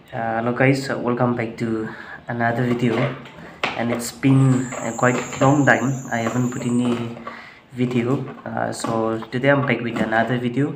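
A man talks at a moderate pace in a monotone, flat intonation over noticeable background noise. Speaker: home cooking vlogger. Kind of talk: casual vlog chat. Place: kitchen. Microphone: phone near.

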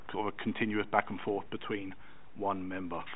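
Very fast delivery from a man. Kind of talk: formal meeting chairing. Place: meeting room. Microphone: podium.

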